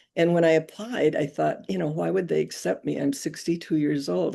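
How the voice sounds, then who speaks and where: A woman speaks at a moderate pace with a very deep, low pitch and a dark, mellow tone. Her intonation is lively, and vocal fry runs through her voice. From North Dakota. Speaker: interview guest, former judge and nurse. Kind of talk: interview storytelling.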